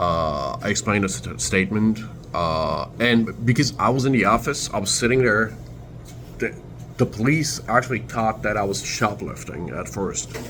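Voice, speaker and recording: A man's fairly low voice with very wide pitch swings, at a fairly slow pace, over music in the background. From Turkey, Istanbul. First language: Turkish. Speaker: vlogger. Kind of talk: casual storytelling vlog. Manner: halting, many fillers.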